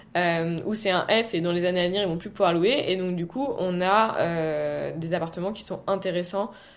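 Using a normal speaking voice, a woman talks at a fairly low pitch and moderate pace with fairly even intonation. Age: 20s. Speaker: real estate entrepreneur. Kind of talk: interview.

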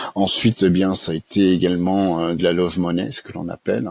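A man speaks at a moderate pace with a very deep, low pitch, the sound dry and close with no echo. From France, Haute-Savoie. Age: 50s. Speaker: start-up founder. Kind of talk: interview. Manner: hesitant, many fillers.

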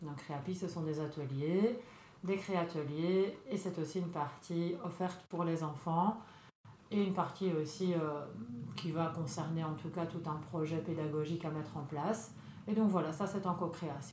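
At a fairly slow pace, a woman talks with fairly even intonation and a fairly low pitch, with room echo audible. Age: 40s. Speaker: social worker and wellness trainer. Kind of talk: casual interview.

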